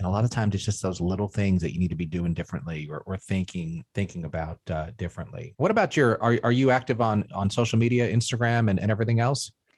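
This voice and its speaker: A fairly low-voiced man with an American accent speaks at a very fast pace with hardly any pauses. His pitch variation is ordinary, and the recording is very clean with a silent background. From Queens, New York. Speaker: podcast host. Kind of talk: casual interview.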